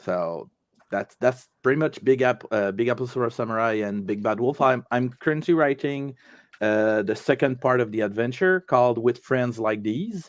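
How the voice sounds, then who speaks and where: In a quiet background, a man with a French Canadian accent speaks at a medium pitch with ordinary pitch variation. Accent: French Canadian accent, noticeable. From Quebec. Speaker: tabletop game designer and award winner. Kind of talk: interview during an online awards show. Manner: halting, many fillers and restarts.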